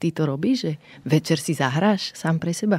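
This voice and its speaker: With a dark, mellow tone and a fairly low pitch, a woman speaks at a moderate pace with lively intonation in a dry, close recording with no echo. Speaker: podcast host. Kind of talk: interview.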